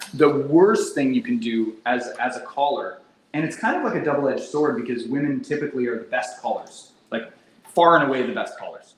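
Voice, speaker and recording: With an animated tone and very wide pitch swings, a man speaks fairly quickly in a fairly high voice, with audible room echo around him. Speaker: real estate team leader. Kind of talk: training session. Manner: fast.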